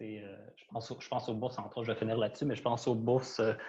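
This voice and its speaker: The delivery is monotone and flat, with a somewhat breathy quality. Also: man. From Quebec, Trois-Rivières. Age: 30s. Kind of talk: panel discussion. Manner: hesitant, many fillers.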